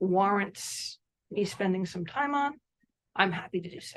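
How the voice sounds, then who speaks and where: A woman's voice at a medium pitch. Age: 60s. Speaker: committee member. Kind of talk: committee meeting discussion.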